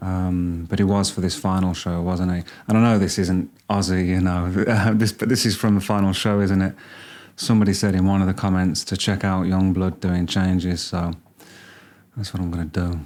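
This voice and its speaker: A man speaks in a very deep, low voice with a Birmingham accent and monotone, flat intonation. The recording is very clean, with a silent background. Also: moderate pace. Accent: Birmingham (Brummie). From Birmingham, England. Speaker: music reaction youtuber. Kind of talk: casual reaction commentary. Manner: hesitant, many fillers.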